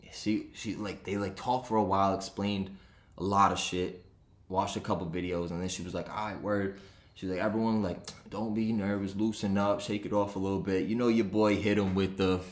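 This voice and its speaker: The speaker goes at a fairly quick pace. Room echo is audible. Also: man, fairly low pitch for a man. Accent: Rhode Island. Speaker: sports betting podcaster. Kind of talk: casual podcast monologue. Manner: animated.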